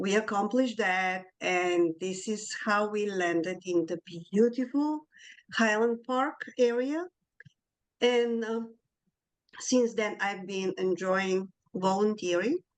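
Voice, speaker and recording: A woman speaks with a Bulgarian accent at a very slow pace. She leaves long, frequent pauses. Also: medium pitch for a woman, ordinary pitch variation. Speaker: community board member. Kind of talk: self-introduction.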